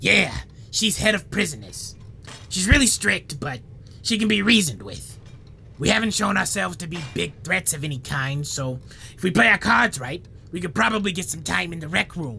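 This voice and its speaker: The speaker puts on a character voice at a middle pitch. The pace is moderate, with clear background noise behind it. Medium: audio drama. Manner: deadpan, rambling.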